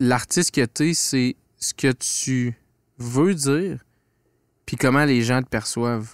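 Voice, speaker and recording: A man speaks at a very slow pace with long, frequent pauses and ordinary pitch variation. The sound is dry with no echo, and the background is quiet. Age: 20s. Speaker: podcast host. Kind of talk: casual chat. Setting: studio. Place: studio. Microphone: studio mic.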